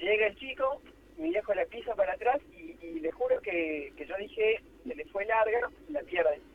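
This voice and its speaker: A man at a moderate pace with high pitch, very wide pitch swings and big swings in loudness, over noticeable background noise. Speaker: lawyer, amateur footballer. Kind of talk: phone interview.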